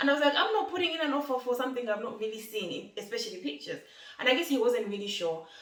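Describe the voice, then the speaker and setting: Her pitch is fairly high for a woman and swings very widely. Noticeable background noise and audible room echo fill the clip. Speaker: lifestyle vlogger. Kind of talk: casual vlog talk. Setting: in her new home. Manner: fast.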